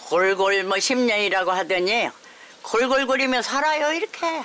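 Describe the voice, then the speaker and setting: A woman speaking at a fairly slow pace. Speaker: elderly farmer. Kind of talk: casual chat. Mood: warm, wry, chatty. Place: farm.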